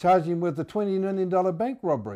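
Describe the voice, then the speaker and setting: A man with a New Zealand accent speaks in a dark, mellow tone on a very clean recording with a silent background. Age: 70s. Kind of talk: interview answer. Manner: hesitant, stammering.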